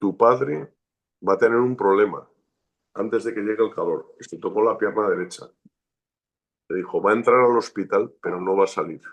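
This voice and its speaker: The man keeps a moderate speed. Long pauses interrupt him often. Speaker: shaman and martial arts teacher. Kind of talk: interview.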